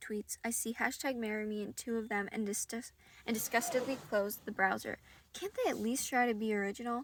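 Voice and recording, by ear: Someone reads aloud. The voice is natural.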